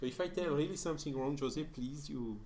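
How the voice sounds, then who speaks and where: In a French accent, a man with a fairly high voice speaks at a moderate pace with ordinary pitch variation, and audible room echo is present. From France. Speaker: spiritist lecturer. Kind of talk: lecture. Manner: halting, many fillers.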